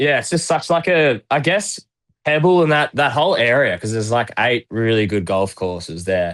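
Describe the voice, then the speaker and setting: The speaker has a strong Australian accent and very wide pitch swings. The recording is very clean, with a silent background. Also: man. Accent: broad Australian. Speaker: retired footballer. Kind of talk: casual chat.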